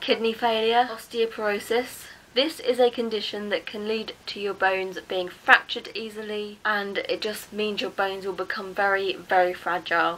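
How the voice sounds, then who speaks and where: In an English accent, a woman with a fairly high voice talks with fairly even intonation and hardly any pauses. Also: moderate pace. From England. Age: 20s. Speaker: mental health vlogger. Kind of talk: casual talk to camera.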